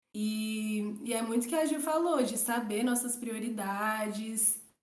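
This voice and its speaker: A woman's voice with audible room echo. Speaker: podcast guest. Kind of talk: casual chat.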